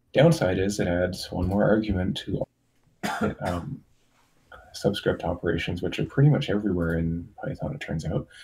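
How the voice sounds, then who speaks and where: Very deep and low, this man's voice has a dark, mellow tone and a slight breathiness, moving at a moderate pace with lively intonation. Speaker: software developer, community contributor. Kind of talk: online community meeting, status update. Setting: Discord voice chat.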